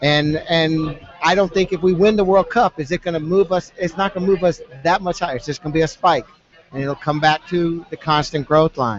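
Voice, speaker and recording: A man talks at a high pitch and fairly quick pace with ordinary pitch variation, against noticeable background noise. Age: 50s. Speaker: former pro soccer player. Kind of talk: casual chat. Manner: halting.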